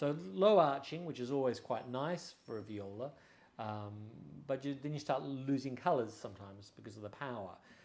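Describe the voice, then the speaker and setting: Here a man speaks at a moderate pace and medium pitch, his intonation lively and his loudness swinging widely. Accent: Australian. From Australia. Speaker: violin and bow dealer. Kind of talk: product showcase. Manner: casual, hesitant with fillers.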